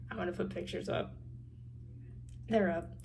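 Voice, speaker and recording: A woman speaks with an American accent. Audible room echo is present. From Tennessee. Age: young. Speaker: university student vlogger. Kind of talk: casual vlog. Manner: casual, many filler words.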